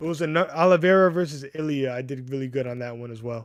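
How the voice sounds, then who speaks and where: With a US East Coast accent, a man speaks at a fairly high pitch and with ordinary pitch variation. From US East Coast, Connecticut, Puerto Rican family. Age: 30s. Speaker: MMA livestreamer. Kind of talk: casual livestream chat. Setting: YouTube livestream. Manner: casual, halting with restarts.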